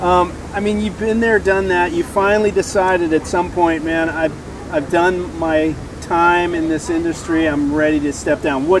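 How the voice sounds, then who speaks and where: A man with a high pitch and fairly even intonation speaks at a moderate pace over noticeable background noise. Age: 60s. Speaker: podcast host. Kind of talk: podcast interview. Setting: outdoor beach event.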